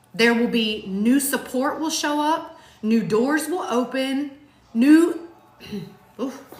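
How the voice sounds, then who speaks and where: In a room with audible echo, a woman with a high voice and lively intonation speaks at a very slow pace, leaving long, frequent pauses. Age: 40s. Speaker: marriage vlogger. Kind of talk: casual chat.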